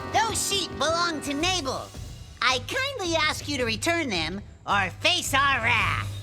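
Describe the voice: Clear music plays behind a woman doing a cartoonish character voice. She talks at a fairly slow pace.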